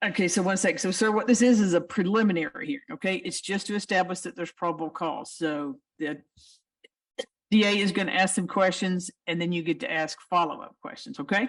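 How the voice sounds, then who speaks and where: A woman with an American accent at a medium pitch, lively intonation, and a fairly quick pace. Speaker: judge. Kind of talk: court hearing. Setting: courtroom.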